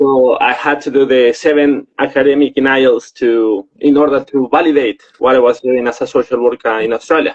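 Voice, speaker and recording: A man with a Spanish accent at a moderate pace, hardly any pauses, fairly even intonation, very even loudness, and a dry, close sound with no echo. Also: medium pitch for a man. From Mexico. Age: 30s. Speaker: social worker. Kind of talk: interview.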